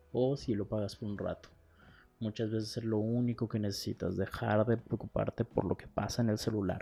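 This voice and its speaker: In a dark, mellow tone, a man talks at a moderate pace with monotone, flat intonation. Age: 20s. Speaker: podcaster. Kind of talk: casual monologue.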